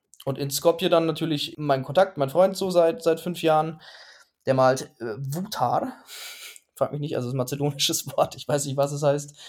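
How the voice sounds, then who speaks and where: In a very clean recording with a silent background, a man with a fairly high pitch uses a plain, everyday voice at a moderate pace. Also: ordinary pitch variation, big swings in loudness. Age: 30s. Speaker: graffiti artist and design student. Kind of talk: interview.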